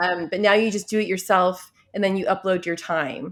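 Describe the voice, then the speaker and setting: The recording is very clean, with a silent background. A woman with an unremarkable speaking voice talks at a fairly quick pace in a medium pitch. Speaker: talk show host. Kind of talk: casual interview conversation.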